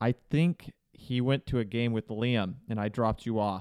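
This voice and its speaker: An ordinary speaking voice, a man's at a fairly low pitch, moves at a moderate pace in a dry, close sound with no echo. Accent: American. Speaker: podcast co-host. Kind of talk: casual chat.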